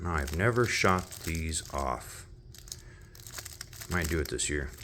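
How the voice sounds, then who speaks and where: Noticeable background noise runs under the voice. The pace is very slow. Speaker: fireworks hobbyist vlogger. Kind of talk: casual show-and-tell video. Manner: casual, with fillers.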